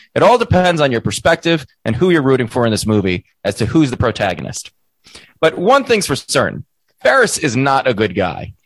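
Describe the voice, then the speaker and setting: The speaker goes at a fairly quick pace with vocal fry and very wide pitch swings, in a dry, close sound with no echo. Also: man, medium pitch for a man. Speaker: podcast co-host. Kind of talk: casual chat.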